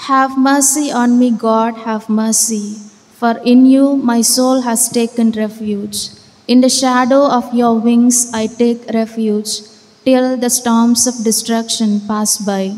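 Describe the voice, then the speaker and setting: A woman's very slow, fairly high voice with monotone, flat intonation. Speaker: lector reading scripture. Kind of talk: scripture reading aloud. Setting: church. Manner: measured, formal. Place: church.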